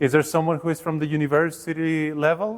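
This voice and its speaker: A man speaks with a Mexican accent. His pitch is fairly high. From Mexico. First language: Spanish. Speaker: workshop leader, education researcher. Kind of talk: workshop presentation. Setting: workshop room with live audience. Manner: hesitant, with fillers.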